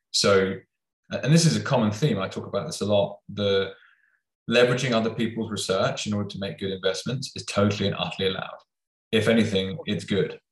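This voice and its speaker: A man's somewhat breathy voice, fairly low in pitch with ordinary pitch variation, at a very fast pace. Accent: British. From UK. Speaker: podcast host. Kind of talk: interview.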